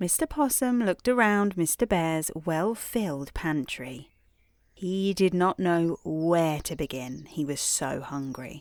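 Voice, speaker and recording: In a British accent, a woman with a fairly low pitch speaks at a fairly slow pace with lively intonation, on a very clean recording with a silent background. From England. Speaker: bedtime storyteller. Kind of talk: sleep story. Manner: slow, sleepy.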